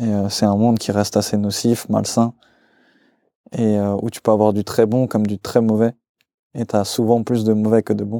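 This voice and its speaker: A man speaks in a fairly low pitch with a dark, mellow tone, monotone, flat intonation and long, frequent pauses, on a very clean recording with a silent background and a dry, close sound with no echo. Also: moderate pace. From Alsace, France (Mulhouse). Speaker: DJ and music producer. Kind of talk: casual interview chat. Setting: in person, Mulhouse.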